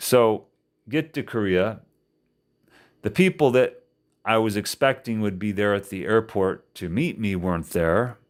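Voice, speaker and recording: On a very clean recording with a silent background, a man with an American accent speaks fairly slowly in a fairly low voice, with ordinary pitch variation and long, frequent pauses. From Indiana, USA. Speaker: English teacher. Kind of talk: casual podcast storytelling.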